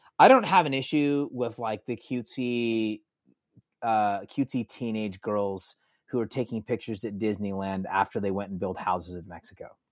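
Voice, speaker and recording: Captured in a very clean recording with a silent background, a man with a normal speaking voice talks at a moderate pace, showing ordinary pitch variation and big swings in loudness. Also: fairly low pitch for a man, dry, close sound with no echo. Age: 40s. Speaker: author and former musician. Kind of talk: casual chat.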